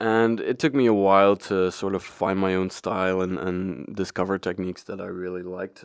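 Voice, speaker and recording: Against a quiet background, a man with a very deep, low pitch speaks at a moderate pace with fairly even intonation and hardly any pauses. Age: 30s. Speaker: photographer and podcast host. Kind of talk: casual podcast monologue. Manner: hesitant, many fillers.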